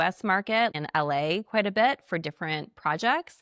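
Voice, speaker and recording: A woman's voice with ordinary pitch variation, dry and close with no echo, on a very clean recording with a silent background. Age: 40s. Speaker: television host and podcast host. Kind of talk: casual chat. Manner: loud; talkative, nonstop.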